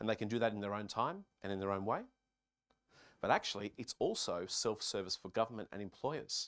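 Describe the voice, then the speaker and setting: A man with an Australian accent speaks at a fairly quick pace, the sound dry and close with no echo on a very clean recording with a silent background. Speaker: conference speaker, software company staff. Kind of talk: keynote presentation.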